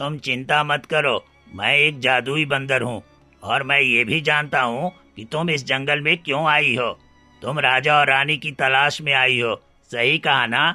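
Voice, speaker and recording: With faint music in the background, a man uses a cartoonish character voice, fairly high in pitch, at a moderate pace. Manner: calm, reassuring.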